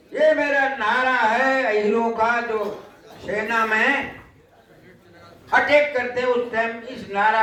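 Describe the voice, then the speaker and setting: Audible room echo surrounds a man whose pitch is extremely high. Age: 80s+. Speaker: war veteran. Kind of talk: public speech. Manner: animated.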